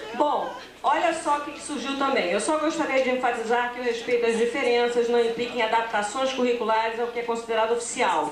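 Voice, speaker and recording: At a fairly quick pace with hardly any pauses, a woman speaks at a high pitch. Audible room echo and noticeable background noise surround her voice. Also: ordinary pitch variation. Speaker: academic researcher presenting. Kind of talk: conference presentation. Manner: fast; hesitant fillers.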